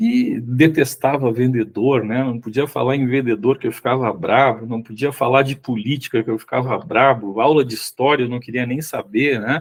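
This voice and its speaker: With a normal speaking voice at a medium pitch, a man talks at a moderate pace with fairly even intonation and hardly any pauses. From Rio Grande do Sul, southern Brazil. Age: 60s. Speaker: sales executive and consultant. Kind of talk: podcast interview. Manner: casual, with frequent fillers.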